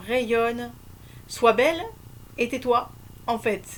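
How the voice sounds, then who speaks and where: Her pitch fairly high with ordinary variation, a woman speaks at a fairly slow pace. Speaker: spiritual coach sharing on couples. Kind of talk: solo video talk. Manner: hesitant, many fillers.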